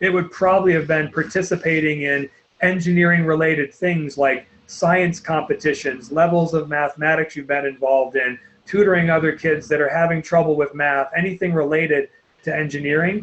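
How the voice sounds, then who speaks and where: A man speaks at a fairly high pitch and a fairly quick pace. His intonation is fairly even. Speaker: college admissions counselor. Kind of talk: webinar presentation. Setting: online webinar. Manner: fast.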